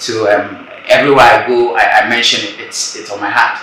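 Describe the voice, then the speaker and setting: This is a man with a Ghanaian accent. Noticeable background noise can be heard. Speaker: spoken word artist. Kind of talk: interview answer.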